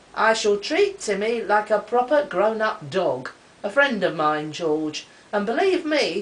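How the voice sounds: Natural reading voice, nothing more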